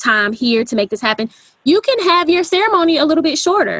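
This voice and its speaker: A woman speaks with lively intonation in a Southern US accent. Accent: Southern twang. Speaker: wedding photographer. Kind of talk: podcast interview.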